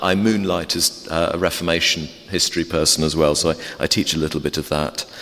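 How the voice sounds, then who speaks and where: Over noticeable background noise, a man with an English accent talks at a fairly quick pace with ordinary pitch variation. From England. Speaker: theology professor and Anglican priest. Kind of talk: informal talk to a church congregation. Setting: church. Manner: halting with many fillers.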